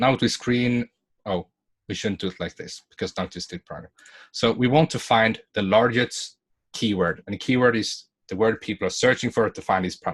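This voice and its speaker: A man with a non-native accent, medium pitch and ordinary pitch variation, at a fairly quick pace, with big swings in loudness and a dry, close sound with no echo. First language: not English. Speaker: online business coach. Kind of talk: webinar tutorial with screen share. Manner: halting, self-correcting.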